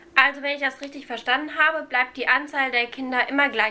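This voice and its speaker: At a fairly quick pace, a woman with a high pitch and a bright, sharp tone speaks in a raised, projected voice. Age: young. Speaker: student teacher podcast host. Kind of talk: scripted educational explainer.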